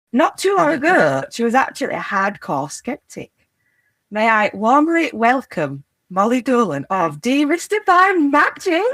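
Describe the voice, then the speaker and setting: Speaking at a fairly slow pace in a Yorkshire accent, the voice comes through on a very clean recording with a silent background. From Yorkshire, northern England. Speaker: podcast host. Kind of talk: casual interview chat. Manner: animated.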